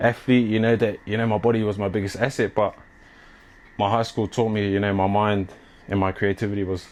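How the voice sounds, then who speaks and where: A man at a fairly low pitch with a New Zealand accent, flat monotone intonation and a fairly quick pace. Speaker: clothing brand owner and athlete. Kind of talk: casual interview chat. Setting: at home, walking tour. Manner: casual, filler-heavy.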